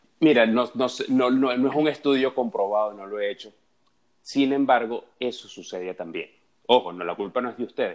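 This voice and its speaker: This man talks at a fairly quick pace in a medium pitch, with ordinary pitch variation and big swings in loudness. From Venezuela, Caracas. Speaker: dating and relationships guest. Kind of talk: casual chat. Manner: halting, repeats words.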